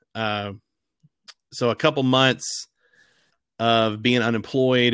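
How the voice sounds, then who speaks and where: A man's medium-pitched voice, bright and sharp, in a Southern US accent with ordinary pitch variation, on a very clean recording with a silent background. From Arkansas, River Valley. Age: 30s. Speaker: former college football fan guest. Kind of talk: casual chat.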